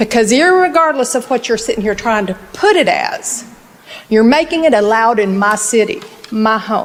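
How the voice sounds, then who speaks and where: Her pace fairly slow, a woman speaks at a fairly high pitch with lively intonation. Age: 60s. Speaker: local resident speaking at council meeting. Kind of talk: public comment at city council meeting. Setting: city council meeting. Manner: emphatic.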